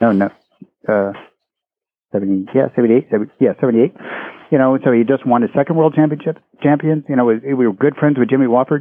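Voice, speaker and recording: With an American accent, a man at a medium pitch speaks at a moderate pace, with ordinary pitch variation and long, frequent pauses. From Maryland, US. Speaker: Olympic gold medalist equestrian and coach. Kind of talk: interview.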